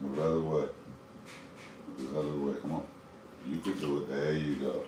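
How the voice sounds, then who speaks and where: Fairly quick speech broken by long, frequent pauses, with audible room echo. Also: man. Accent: American. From US, Northern Virginia. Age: 40s. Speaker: fishkeeping livestreamer. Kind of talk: casual livestream chat. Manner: halting, many fillers.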